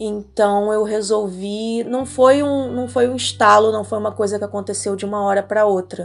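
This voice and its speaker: A woman with an ordinary speaking voice and a medium pitch talks at a moderate pace, with hardly any pauses. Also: ordinary pitch variation. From Rio de Janeiro, Brazil. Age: 30s. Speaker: trail runner and photographer. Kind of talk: interview.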